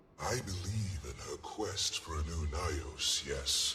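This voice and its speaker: A man in a put-on character voice, with clear background noise and clear echo. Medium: machinima. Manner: formal, measured.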